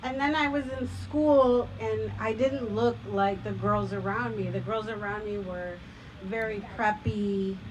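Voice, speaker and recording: Amid audible room echo and noticeable background noise, a woman with a Spanish accent talks at a fairly slow pace. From Chicago suburbs, Mexican-American family. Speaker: storyteller. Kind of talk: personal storytelling on stage.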